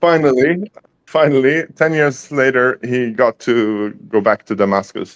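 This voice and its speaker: With a Swedish accent, a man of medium pitch speaks at a fairly slow pace and with ordinary pitch variation, the sound dry and close with no echo. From Sweden. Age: 40s. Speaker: guest in online chat. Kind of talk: casual chat. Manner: halting, many fillers.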